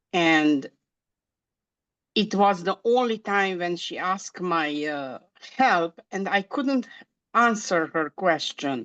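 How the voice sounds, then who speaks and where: A woman with a Romanian accent speaks at a very slow pace and medium pitch, with lively intonation and long, frequent pauses. The sound is dry and close with no echo, against a quiet background. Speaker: hypnosis practitioner in training. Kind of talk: interview. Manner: halting, many fillers.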